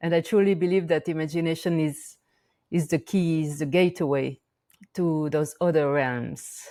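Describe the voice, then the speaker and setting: In a French accent, a woman speaks at a moderate pace with a very deep, low pitch and a dark, mellow tone, on a very clean recording with a silent background. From France, Auvergne volcano region. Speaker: shamanic practitioner and teacher. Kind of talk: interview conversation. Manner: halting, many fillers.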